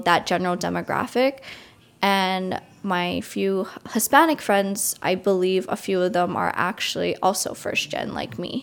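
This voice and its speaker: In an American accent, a woman speaks at a fairly slow pace in an ordinary speaking voice. Her pitch is medium for a woman, and the recording is very clean with a silent background. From US Northeast, Long Island, New York. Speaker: college student. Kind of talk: casual interview.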